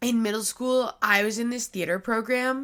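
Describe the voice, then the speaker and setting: A woman's fairly high-pitched voice, bright and sharp in tone, with fairly even intonation. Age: 20s. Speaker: podcast host. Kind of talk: casual chat. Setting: at home. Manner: pitch breaking up and down; chatty filler-heavy.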